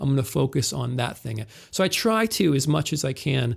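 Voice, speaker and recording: There's vocal fry in this man's medium-pitched voice, which carries an American accent. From northeast Ohio. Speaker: technical theater manager. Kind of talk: interview.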